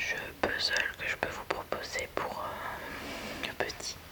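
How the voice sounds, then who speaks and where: Very slowly, a woman's whisper comes through, with background noise clearly present. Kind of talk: ASMR roleplay as a toy shop saleswoman. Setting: studio, close-mic ASMR recording. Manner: soft, calm, slow, relaxing.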